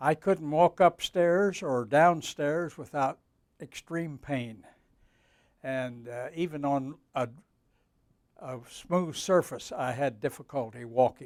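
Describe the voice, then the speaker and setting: A man at a very slow pace, dry and close with no echo, in a very clean recording with a silent background. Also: ordinary pitch variation. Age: 80s+. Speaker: patient giving a testimonial. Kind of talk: testimonial interview answer. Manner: hesitant, halting.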